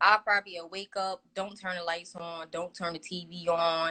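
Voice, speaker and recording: In a Brooklyn accent, the speaker uses a bright, sharp tone and monotone, flat intonation at a moderate pace, with a dry, close sound and no echo. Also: woman. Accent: Brooklyn New York. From New York, Brooklyn. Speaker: rapper. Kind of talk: interview. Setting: Instagram live video call.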